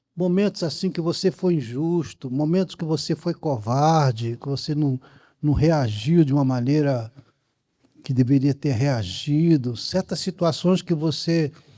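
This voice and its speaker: A man's dark, mellow tone sits at a fairly high pitch. He talks at a fairly slow pace with ordinary pitch variation. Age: 80s+. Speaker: film director. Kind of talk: post-screening Q&A with audience. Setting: cinema auditorium with live audience. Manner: halting, many repetitions and restarts.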